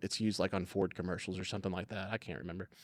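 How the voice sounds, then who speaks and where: Recorded very cleanly against a silent background, a man with a Southern US accent sounds dry and close, with no echo. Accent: Southern US, grown stronger over the years. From US South, coastal Alabama. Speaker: video production business owner. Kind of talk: podcast interview. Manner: halting, many fillers and restarts.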